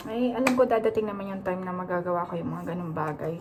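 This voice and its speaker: Noticeable background noise beneath a woman's medium-pitched voice and its ordinary pitch variation. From Philippines. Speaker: stay-at-home mom vlogger. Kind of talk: casual vlog chat. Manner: chatty. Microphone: no microphone, leaning close to camera.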